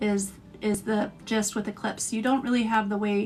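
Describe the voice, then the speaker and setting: Speaking at a moderate pace, a woman has an ordinary speaking voice with a fairly high pitch. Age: 40s. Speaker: astrologer. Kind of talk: live stream talk.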